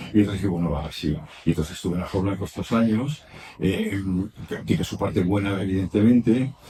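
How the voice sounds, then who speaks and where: Somewhat breathy and dark, mellow in tone, a man speaks at a very deep, low pitch with ordinary pitch variation. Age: 70s. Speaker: writer and traveler. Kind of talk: public talk at a bookshop. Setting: bookshop event with audience. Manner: halting, many repetitions.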